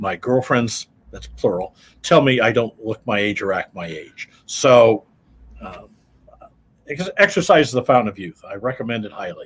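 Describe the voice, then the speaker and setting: A man with an American accent speaks at a moderate pace in a medium pitch, somewhat breathy, with lively intonation. Long, frequent pauses break up his speech, and his loudness swings widely. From US Midwest, Iowa. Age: 70s. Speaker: accountant. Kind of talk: interview. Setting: radio studio.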